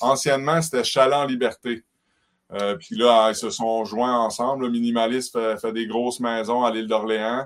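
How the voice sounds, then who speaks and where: A plain, everyday voice at a fairly slow pace, in a very clean recording with a silent background. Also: man. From Quebec, Côte-Nord (Havre-Saint-Pierre). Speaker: tourism business owner. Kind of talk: interview.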